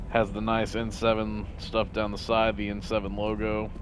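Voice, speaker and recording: A man is speaking. Music plays in the background. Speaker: gaming streamer. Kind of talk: let's play commentary. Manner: loud; casual, conversational.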